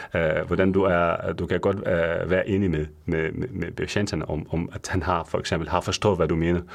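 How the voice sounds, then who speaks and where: With a non-native accent, a man speaks in a very deep, low pitch and monotone, flat intonation, at a fairly slow pace with hardly any pauses. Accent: non-native Danish. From Syria. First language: Arabic (speaking Danish). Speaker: pharmacist. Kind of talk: radio interview. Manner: halting, many fillers.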